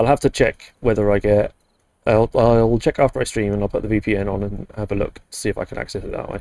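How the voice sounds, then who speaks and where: A man talks very fast in a fairly low, dark, mellow voice with fairly even intonation, recorded very cleanly with a silent background and a dry, close sound with no echo. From UK. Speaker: video game streamer. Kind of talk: live gameplay stream chat. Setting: live stream. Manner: casual, halting with fillers.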